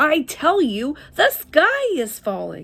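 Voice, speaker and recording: The speaker puts on a character voice. The pace is fairly slow. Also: woman. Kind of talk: bedtime story. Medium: read story. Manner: fretful, insistent.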